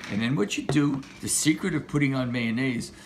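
This man's intonation is lively, with vocal fry in his voice. Light background noise sits underneath. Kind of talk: playful cooking tutorial. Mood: jokey, playful. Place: kitchen. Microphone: camera far.

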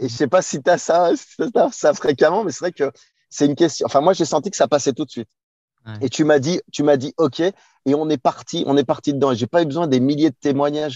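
A man with a fairly high pitch and a dark, mellow tone speaks at a fairly quick pace with ordinary pitch variation, the sound dry with no echo and the background quiet. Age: 30s. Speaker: relationship coach. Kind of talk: interview. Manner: animated. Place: car.

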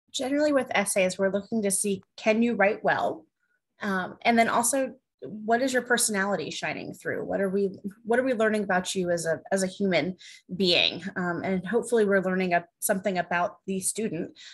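Against a quiet background, a woman with an American accent speaks at a fairly quick pace in a somewhat breathy voice, her pitch varying in an ordinary way. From New Jersey. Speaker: college admissions officer; panelist. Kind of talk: panel discussion. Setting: video call. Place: home room. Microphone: video call.

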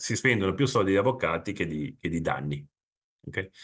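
This man's voice sits at a very deep, low pitch. The background is quiet. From Italy, Genoa; Italy. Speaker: insurance consultant; presenter. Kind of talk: webinar presentation. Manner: conversational. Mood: informal, explanatory. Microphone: webcam.

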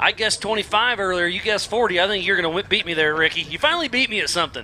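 Noticeable noise runs in the background. A man talks at a high pitch that varies in an ordinary way. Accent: Southern US. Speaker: race commentator. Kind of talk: live commentary.

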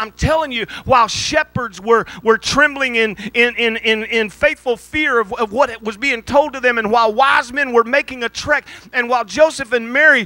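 Against a quiet background with a dry sound and no echo, a man uses a raised, projected voice at an extremely high pitch, bright and sharp in tone, at a moderate pace. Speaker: pastor. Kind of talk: sermon. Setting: church. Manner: halting; animated. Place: church. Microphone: handheld.

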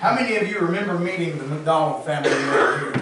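Strong room echo and noticeable background noise fill the recording. A man speaks at a fairly quick pace. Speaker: pastor. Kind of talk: sermon. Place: church.

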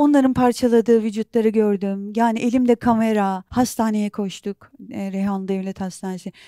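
A woman's fairly high voice with a dark, mellow tone, fairly even intonation and hardly any pauses, dry with no echo, over a quiet background. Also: moderate pace. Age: 40s. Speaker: documentary filmmaker and journalist; interview guest. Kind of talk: interview. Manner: halting. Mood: emotional, recounting traumatic events. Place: studio. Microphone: lapel.

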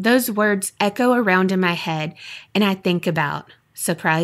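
What you hear is plain reading aloud.

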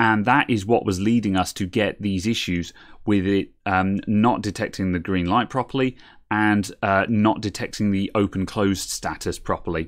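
In a normal speaking voice, a man with a fairly low pitch talks at a moderate pace with fairly even intonation against a quiet background. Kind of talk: tutorial. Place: workshop.

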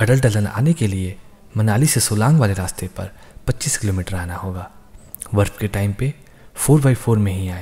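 Somewhat breathy, a man speaks at a fairly slow pace with a dark, mellow tone and fairly low pitch. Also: ordinary pitch variation. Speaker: travel narrator. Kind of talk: documentary narration.

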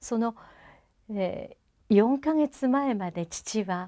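Speaking at a very slow pace, a woman has a dark, mellow tone. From Japan. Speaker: singer. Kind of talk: interview monologue. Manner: formal; halting. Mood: warm, reflective, smiling. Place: studio.

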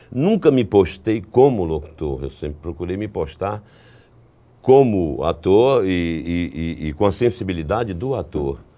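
This man's very deep, low voice carries a dark, mellow tone as he speaks at a fairly slow pace. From Brazil, Recife (Pernambuco); Pernambuco, Brazil. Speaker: voice actor and trailer announcer; voice actor, trailer announcer. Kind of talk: interview. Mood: reflective, calm. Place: studio. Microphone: lapel.

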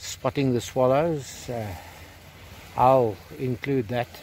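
Light background noise accompanies a man talking at a fairly slow pace. The sound is dry, with no echo. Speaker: hobby metal detecting vlogger. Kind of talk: casual vlog chat. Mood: cheerful and relaxed. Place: beach. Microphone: phone near.

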